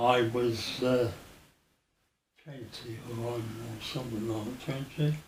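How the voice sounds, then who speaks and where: Speaking with a Birmingham accent, a man keeps a medium pitch and a monotone, flat intonation. His pace is very slow, with long, frequent pauses and audible room echo. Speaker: former air force serviceman. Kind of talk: oral history interview. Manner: halting.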